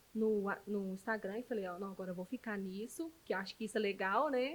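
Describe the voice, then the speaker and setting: This woman's fairly high voice moves along at a fairly quick pace, its pitch shifting in an ordinary way. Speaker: journalist and digital influencer. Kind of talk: casual chat. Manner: fast; animated.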